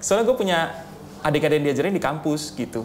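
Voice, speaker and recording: Fairly high-pitched male voice with ordinary pitch variation, set in audible room echo. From North Sumatra, Pematang Siantar. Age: young. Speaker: radio announcer and content creator. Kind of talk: casual chat.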